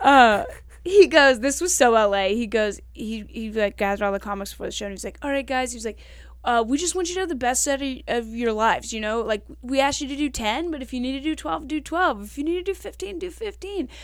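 A woman with a Southern US accent talks at a very fast pace in a high pitch, with very wide pitch swings and big swings in loudness. The recording is very clean, with a silent background. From Kentucky, US South. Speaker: stand-up comedian. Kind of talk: casual interview chat. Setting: podcast studio.

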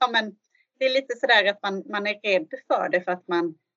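A woman talks at a moderate pace. Her pitch is medium, with ordinary pitch variation. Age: 40s. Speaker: social worker and football coach. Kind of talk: interview. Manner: halting.

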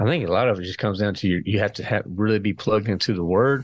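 Very fast speech from a man with an American accent and fairly low pitch. The recording is very clean, with a silent background. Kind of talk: interview conversation.

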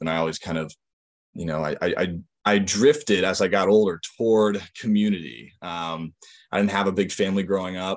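A man's very deep, low voice with an American accent over a quiet background. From Western Massachusetts. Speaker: recovered alcoholic speaker. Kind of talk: recovery testimony talk. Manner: halting, many fillers and repetitions.

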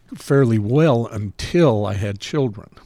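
A man's plain, everyday voice, fairly low in pitch, fairly slow, with an American accent. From Salt Lake City, Utah. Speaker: deli owner. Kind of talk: casual chat.

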